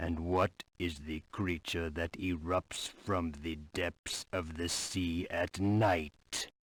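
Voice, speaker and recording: A man uses a put-on character voice, very deep and low in pitch. He talks at a very slow pace with hardly any pauses. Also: very clean recording, silent background. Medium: video game. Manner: earnest, brief.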